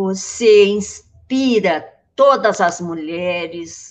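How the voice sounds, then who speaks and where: A woman's intonation is lively, and the background is quiet. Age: old. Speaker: urban planning professor, guest co-interviewer. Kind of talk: interview.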